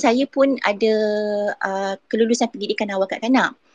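A woman speaks at a moderate pace. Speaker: early childhood educator. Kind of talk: casual chat.

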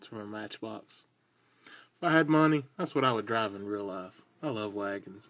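In a relaxed tone, a man with a Southern US accent speaks at a moderate pace, his pitch fairly low, his intonation lively and his loudness swinging widely against a quiet background. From US South. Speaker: toy car customizer. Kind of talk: casual video tutorial. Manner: relaxed, rambling with fillers. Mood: relaxed, enthusiastic. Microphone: phone near.

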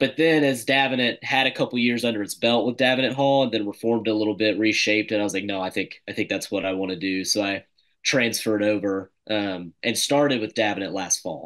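Against a quiet background, the speech runs at a very fast pace with hardly any pauses and ordinary pitch variation. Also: man, fairly low pitch for a man. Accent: American. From US South, Mississippi (suburb of Jackson); Mississippi. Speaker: classical school teacher and grad student; classical school teacher. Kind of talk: casual interview chat. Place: home room. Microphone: webcam.

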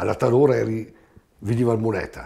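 The man's dark, mellow tone is threaded with vocal fry. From Trentino, Giudicarie (Italy); Trentino. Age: 70s. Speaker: knife grinder emigrant. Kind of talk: interview testimony. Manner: halting. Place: home room.

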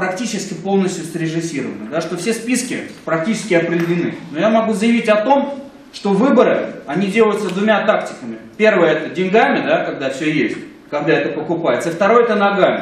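Speaking at a fairly quick pace with lively intonation, a man uses a high pitch while audible room echo surrounds him. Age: young. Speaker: political consultant. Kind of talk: panel debate. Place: meeting room. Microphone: camera far.

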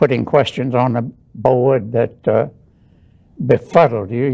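There is vocal fry in this man's voice as he talks at a fairly slow pace. The background is quiet. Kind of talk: interview answer. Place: studio.

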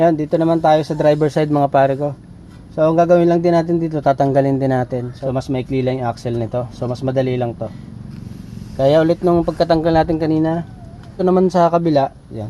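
A man talks at a very fast pace in a fairly high pitch with ordinary pitch variation. Noticeable background noise runs underneath. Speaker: DIY auto repair vlogger. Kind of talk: tutorial. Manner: casual, conversational.

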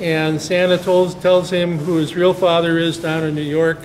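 Over light background noise, a man with a high pitch talks at a moderate pace with fairly even intonation. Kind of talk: interview answer. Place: stage.

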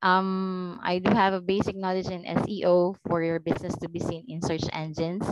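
Amid noticeable background noise, a woman speaks with monotone, flat intonation and hardly any pauses, the sound dry with no echo. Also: moderate pace. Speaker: virtual assistant. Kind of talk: job interview. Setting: video call. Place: home room. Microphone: headset.

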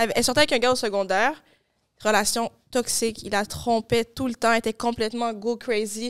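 Over a quiet background, a woman speaks at a fairly quick pace. Her intonation is monotone and flat. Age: young. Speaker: podcast host; podcast guest. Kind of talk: casual chat. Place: studio. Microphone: studio mic.

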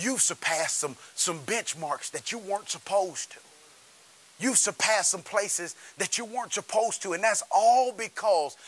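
A man's high pitch carries a bright, sharp tone. He speaks at a moderate pace with lively intonation. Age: 30s. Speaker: pastor. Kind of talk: sermon.

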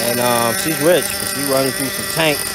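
Noticeable background noise around a man's dry voice with no echo. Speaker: RC hobby vlogger. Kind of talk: casual vlog chat. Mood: upbeat, joking, laughing. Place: open country. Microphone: phone near.

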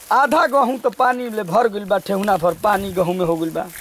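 In a dry sound with no echo and light background noise, a man speaks high with lively intonation. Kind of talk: comic monologue.

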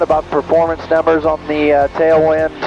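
A man talks fairly quickly with clear music playing in the background. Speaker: pilot vlogger. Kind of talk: casual vlog chat. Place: plane. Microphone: headset.

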